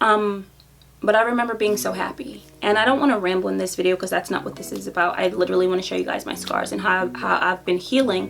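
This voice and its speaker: Noticeable background noise sits behind the speech. A woman talks at a very fast pace. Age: 30s. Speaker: beauty vlogger. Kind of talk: casual vlog monologue. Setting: home office.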